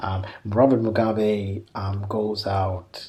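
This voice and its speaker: Music plays behind a man with a fairly low voice. His intonation stays monotone and flat. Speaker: associate professor in African politics. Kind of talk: interview answer. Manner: hesitant, many fillers.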